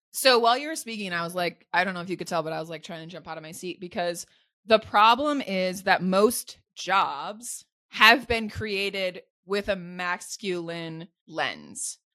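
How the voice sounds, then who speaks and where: On a very clean recording with a silent background, a woman speaks at a medium pitch in a bright, sharp, animated tone, with ordinary pitch variation and big swings in loudness. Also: moderate pace. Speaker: career coach and author. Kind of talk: casual interview chat. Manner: animated, laughing often.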